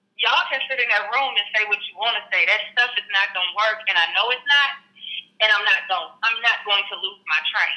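With an American accent, a woman speaks at a fairly quick pace in a plain, everyday voice, fairly high in pitch with ordinary pitch variation. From Houston, Texas. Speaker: school administrator. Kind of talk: interview.

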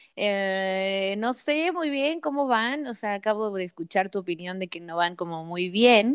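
A woman's animated, lively-intoned speech with hardly any pauses. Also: medium pitch for a woman, fairly slow pace. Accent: Mexican. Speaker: sports podcast co-host. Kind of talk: casual chat.

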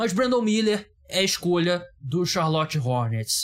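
Delivered at a moderate pace, the speech has a somewhat breathy quality. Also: man. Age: 30s. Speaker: podcast host. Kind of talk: casual chat.

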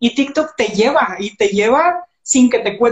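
This woman has an unremarkable speaking voice. Her pitch sits fairly high, and her intonation is lively. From Mexico, Monterrey. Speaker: entrepreneur and social media coach. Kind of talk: casual interview. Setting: Instagram live stream.

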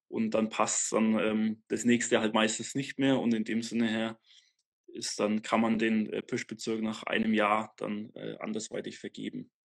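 In a dry, close sound with no echo and a quiet background, a man with a medium pitch speaks fairly slowly in a monotone, flat way. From Franconia, Germany (north of Nuremberg). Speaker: hunter. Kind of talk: casual interview. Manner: halting, many fillers.

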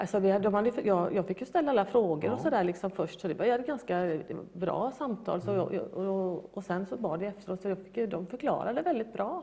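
Speaking at a fairly quick pace with hardly any pauses, a woman of medium pitch uses an unremarkable speaking voice and lively intonation. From Gothenburg, Sweden. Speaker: guest telling faith story. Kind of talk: interview testimony.

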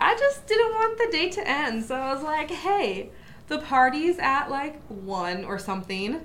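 Very wide pitch swings mark this fairly slow speech, heard with audible room echo and noticeable background noise. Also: woman, high pitch for a woman. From small town. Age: 20s. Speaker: podcast co-host. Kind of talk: casual chat.

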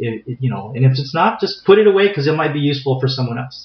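A man with an American accent talks at a very fast pace. His fairly high voice carries lively intonation. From San Diego, California. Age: 40s. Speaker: martial arts instructor. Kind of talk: interview. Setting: recorded live in Escondido, near San Diego.

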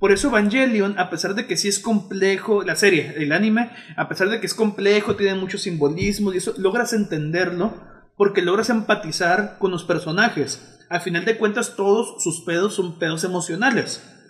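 A man with a Mexican accent speaks in a high voice at a moderate pace, with ordinary pitch variation. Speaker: podcast co-host. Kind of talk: casual chat. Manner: halting.

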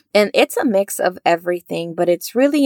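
Dry and close, the sound carries no echo. The recording is very clean and the background silent. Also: woman. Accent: Spanish. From Mexico. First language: Spanish. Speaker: psychotherapist and podcast host. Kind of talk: faith-based podcast monologue.

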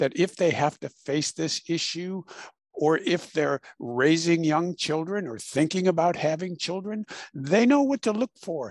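A high-pitched man with a Midwestern American accent, a fairly slow pace and ordinary pitch variation, in a dry, close sound with no echo. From Illinois, US Midwest. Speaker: author and mental health practitioner. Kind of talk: interview.

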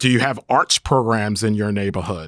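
A man with an American accent speaks in a plain, everyday voice at medium pitch and moderate pace with ordinary pitch variation, in a very clean, dry, close recording with no echo and a silent background. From Brooklyn, New York. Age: 50s. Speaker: podcast co-host, housing developer. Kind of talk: casual chat.

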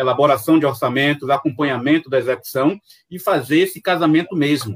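The speaker has a Bahian accent. The pace is moderate. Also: man. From Salvador, Bahia, Brazil. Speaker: accountant and consultant. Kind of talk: live-streamed panel interview.

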